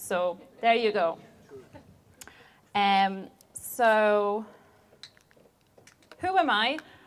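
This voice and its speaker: Ordinary pitch variation runs through this voice, which carries a Polish accent. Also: woman. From Poland. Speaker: software engineer. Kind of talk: conference talk.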